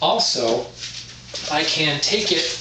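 Speaking slowly with a bright, sharp tone, a man uses a fairly high pitch and lively intonation amid audible room echo.

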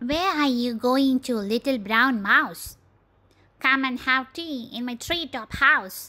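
A female-sounding voice puts on a character voice at a high pitch. She speaks at a fairly slow pace. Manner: friendly, then alarmed.

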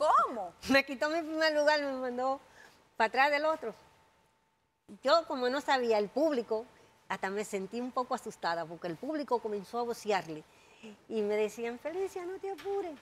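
Very wide pitch swings at a moderate pace, broken by long, frequent pauses. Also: woman, high pitch for a woman. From Dominican Republic. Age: 60s. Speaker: jockey. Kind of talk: interview. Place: studio.

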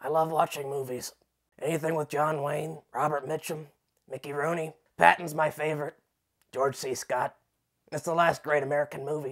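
Long, frequent pauses break up this man's speech. His fairly high pitch comes with monotone, flat intonation. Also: moderate pace. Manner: gruff, nostalgic, stubborn.

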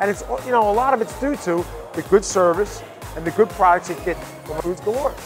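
Clear music plays behind a man who talks at a fairly quick pace. His high voice has lively intonation. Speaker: restaurant owner. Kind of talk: interview answer. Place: bar. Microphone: lapel.

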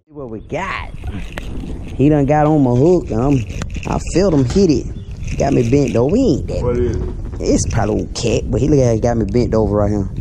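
A man speaks at a fairly quick pace against noticeable background noise. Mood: excited, playful. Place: boat. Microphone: phone near.

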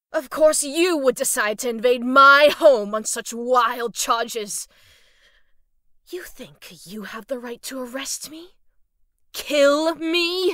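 A put-on character voice, high-pitched, wheezy and strained, moves at a fairly slow pace on a very clean recording with a silent background. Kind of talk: formal, defiant. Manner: wheezing, strained.

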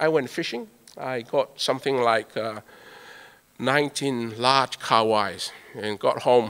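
A man with a Tongan accent speaks at a very slow pace and fairly even intonation. The background is quiet. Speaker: scientist. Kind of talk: keynote speech. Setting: stage with audience. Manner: humorous. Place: hall. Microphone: podium.

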